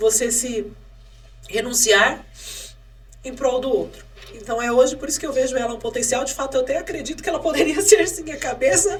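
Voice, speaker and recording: Her voice high and her intonation lively, a woman speaks at a fairly quick pace with long, frequent pauses, and there is audible room echo. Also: big swings in loudness. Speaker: mayoral candidate. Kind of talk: podcast interview. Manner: fast.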